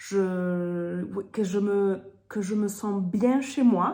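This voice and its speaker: A somewhat breathy woman's voice with audible room echo. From Germany. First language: German (speaking French). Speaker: sales consultant. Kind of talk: product presentation. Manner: hesitant, many fillers.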